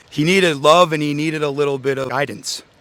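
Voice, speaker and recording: Speaking at a fairly quick pace, a man with an unremarkable speaking voice has a fairly high pitch and ordinary pitch variation. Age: 20s. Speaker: interviewee. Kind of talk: casual interview.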